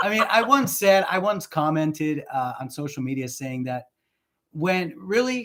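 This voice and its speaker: On a very clean recording with a silent background, a man with a Spanish accent speaks at a fairly slow pace with very wide pitch swings. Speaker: relationship coach. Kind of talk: casual chat.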